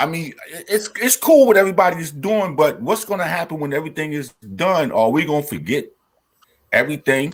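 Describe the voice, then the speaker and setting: This man sounds animated, with lively intonation and a fairly high pitch. He talks at a fairly quick pace, his loudness swinging widely. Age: 60s. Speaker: hip hop pioneer and TV producer. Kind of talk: casual chat.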